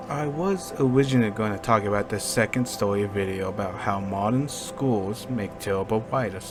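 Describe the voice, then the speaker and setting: Lively intonation over music in the background. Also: man. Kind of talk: casual video commentary. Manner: slow.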